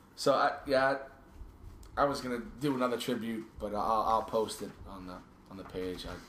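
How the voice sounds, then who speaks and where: Heard with audible room echo, a man at medium pitch speaks at a moderate pace with long, frequent pauses, ordinary pitch variation and big swings in loudness. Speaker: podcast host. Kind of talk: casual chat. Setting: home basement studio. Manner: halting, repeats words.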